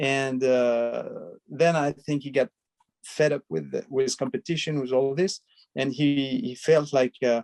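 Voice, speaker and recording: Fairly slow, fairly even speech in a French accent, with a dry, close sound and no echo. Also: man. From France, the Alps. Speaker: film director. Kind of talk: interview. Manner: halting, many hesitations.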